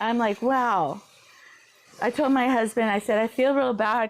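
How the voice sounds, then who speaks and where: Using a plain, everyday voice, a woman speaks at a fairly high pitch and moderate pace with ordinary pitch variation. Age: 50s. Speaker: quilter. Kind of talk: live stream tutorial chat. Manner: casual, chatty.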